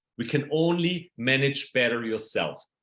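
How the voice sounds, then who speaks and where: The speaker has a German accent and lively intonation. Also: man. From Germany. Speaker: productivity coach. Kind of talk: presentation. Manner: hesitant with fillers.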